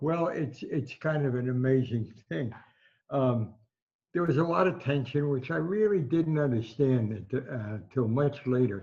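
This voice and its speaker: Somewhat breathy and dark, mellow in tone, a man speaks at a fairly slow pace and medium pitch with lively intonation. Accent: American. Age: 80s+. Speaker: veteran sports writer. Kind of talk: interview recollection.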